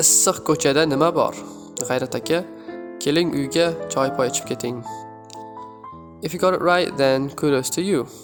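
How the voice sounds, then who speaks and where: Music plays in the background as a man speaks at a moderate pace with long, frequent pauses. His fairly high voice makes very wide pitch swings. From Uzbekistan. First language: Uzbek. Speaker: language tutor. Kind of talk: language tutorial talk to camera.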